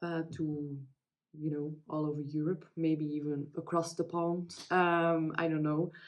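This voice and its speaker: Very slow speech in a Dutch accent. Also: woman. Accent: non-native English, Dutch-speaking. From Belgium. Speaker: crafting vlogger. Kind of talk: casual chat. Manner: halting, many fillers.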